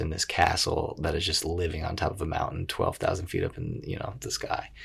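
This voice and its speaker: Somewhat breathy with a very deep, low pitch, a man with an American accent talks at a fairly quick pace in a very clean recording with a silent background. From New York, Westchester. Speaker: actor and TV host. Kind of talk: casual chat. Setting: home studio. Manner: animated.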